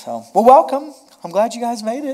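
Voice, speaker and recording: The speaker is a man. He keeps to a moderate pace. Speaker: pastor. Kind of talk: sermon opening, casual chat with congregation. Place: hall.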